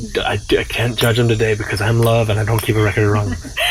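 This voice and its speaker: Noticeable background noise sits behind a man's voice. He has a medium pitch and a fairly quick pace. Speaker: spiritual teacher. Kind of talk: satsang teaching talk.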